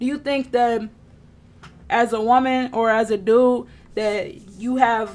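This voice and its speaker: The speaker is a woman. Her voice is pitched fairly high. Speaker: livestreamer, self-help talk. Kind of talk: casual live stream monologue. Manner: loud; animated.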